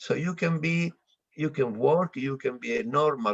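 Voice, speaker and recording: A man with an Italian accent speaks at a moderate pace, his pitch swinging very widely. The sound is dry and close, with no echo. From Italy. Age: 60s. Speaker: monk. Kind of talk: interview. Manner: halting.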